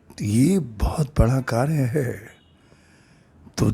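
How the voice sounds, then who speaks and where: A man's medium-pitched, somewhat breathy voice moves through very wide pitch swings. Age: 60s. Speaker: storyteller and social worker. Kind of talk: narrated story with appeal to viewers.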